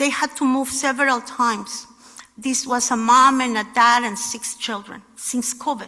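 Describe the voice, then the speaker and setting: A woman speaks in a high pitch with fairly even intonation at a moderate pace. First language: not English. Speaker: housing nonprofit leader. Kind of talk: speech. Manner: halting.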